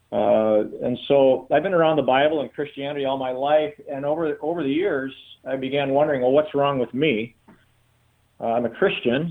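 Here is a man with an unremarkable speaking voice and fairly high pitch. He keeps a moderate pace and ordinary pitch variation. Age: 60s. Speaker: pastor. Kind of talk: interview.

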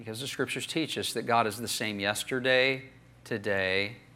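Medium in pitch, a man with an American accent talks at a moderate pace with ordinary pitch variation. His tone is bright and sharp, with audible room echo. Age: 50s. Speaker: pastor. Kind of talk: sermon.

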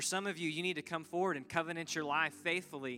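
His tone is bright and sharp. The man's pitch sits fairly high. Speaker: church staff pastor. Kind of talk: closing exhortation, altar call. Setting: church service.

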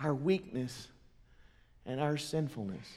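A man's fairly high-pitched voice with a Southern US accent. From US South, Mississippi. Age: 40s. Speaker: pastor. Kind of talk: sermon. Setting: church.

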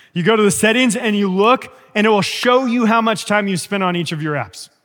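This man has a high pitch and an animated tone, moving along at a fairly quick pace. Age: 30s. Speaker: pastor. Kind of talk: sermon.

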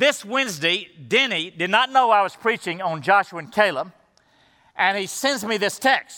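In a very clean recording with a silent background, a man projects a raised, high-pitched voice with a bright, sharp tone, lively intonation and a moderate pace. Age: 60s. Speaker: pastor. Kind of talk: sermon. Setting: church service.

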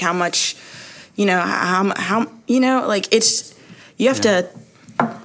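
A woman with ordinary pitch variation against noticeable background noise. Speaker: recent graduate and church member. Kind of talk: casual chat.

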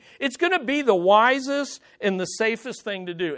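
A man speaks in a high voice with an American accent, his tone bright and sharp. His pitch swings very widely at a moderate pace against a quiet background. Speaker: pastor. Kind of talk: sermon. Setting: church.

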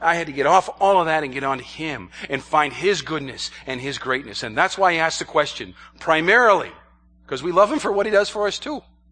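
A man with an American accent, a normal speaking voice, fairly high pitch, lively intonation and a fairly quick pace. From New York State, US. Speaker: missionary. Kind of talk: sermon.

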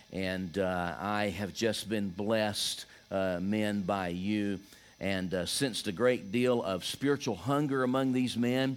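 In a Southern US accent, a man talks at a fairly slow pace with a fairly low pitch and ordinary pitch variation. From US Deep South, Georgia. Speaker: visiting pastor. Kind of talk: sermon. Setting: church.

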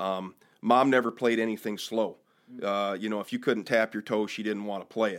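A man with an American accent speaks in an unremarkable speaking voice at a fairly low pitch and moderate pace, intonation fairly even, on a very clean recording with a silent background. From Michigan. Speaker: church bass player and volunteer firefighter. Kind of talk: casual chat.

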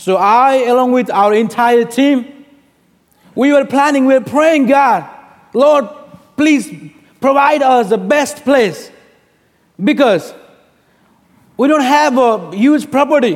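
With a Nepali accent, a man speaks at a very slow pace in an extremely high pitch, with ordinary pitch variation, very even loudness and long, frequent pauses. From Bhutan, raised in Nepal. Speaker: pastor. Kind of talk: sermon. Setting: church.

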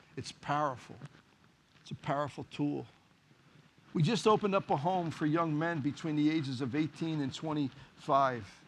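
Against a quiet background, a man with a Philadelphia accent speaks with ordinary pitch variation and long, frequent pauses. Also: fairly high pitch for a man, moderate pace. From US Northeast (Philadelphia, Kensington). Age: 50s. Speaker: pastor and boxing trainer. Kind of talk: sermon.

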